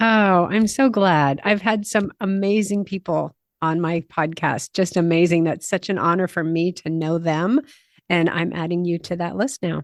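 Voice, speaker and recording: With an American accent, a woman talks at a moderate pace in an ordinary speaking voice, her pitch fairly low and varying in an ordinary way. The background is quiet, and the sound is dry and close with no echo. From USA. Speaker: podcast host and Camino guide. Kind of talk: podcast interview.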